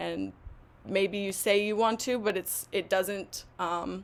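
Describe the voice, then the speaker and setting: At a very slow pace, a woman speaks at a medium pitch. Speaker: English language teacher. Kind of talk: webinar presentation. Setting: live online stream.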